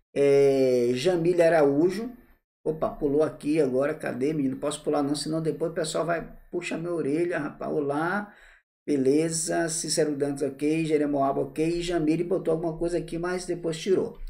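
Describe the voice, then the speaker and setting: A man speaks at a fairly high pitch with a dark, mellow tone. His pace is moderate and the background quiet. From Bahia, Brazil (Salvador). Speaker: tax law teacher. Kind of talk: live online class; live-stream lecture. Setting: live stream. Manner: animated. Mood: warm, informal. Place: home room. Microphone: earbuds.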